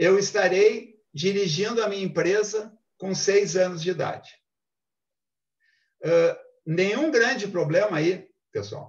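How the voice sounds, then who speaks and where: A man talks at a very slow pace. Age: 60s. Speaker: business speaker. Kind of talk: lecture. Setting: video call.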